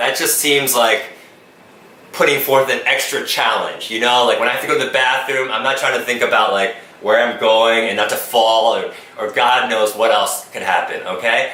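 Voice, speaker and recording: A man's voice comes through with audible room echo and noticeable background noise. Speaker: YouTuber. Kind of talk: Q&A video. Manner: fast; loud.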